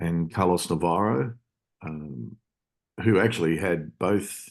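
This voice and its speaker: With an Australian accent, a man speaks at a very deep, low pitch with vocal fry. His pace is very slow, against a quiet background. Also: ordinary pitch variation. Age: 60s. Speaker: self-defence instructor. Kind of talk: interview. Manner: halting, many fillers.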